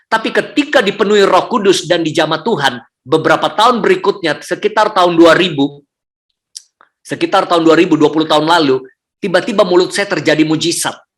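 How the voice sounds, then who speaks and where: The pace is very fast, with very even loudness. Pitch varies in an ordinary way. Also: man, high pitch for a man. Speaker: public speaking trainer and church speaker. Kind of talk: testimony. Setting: hotel room, online service.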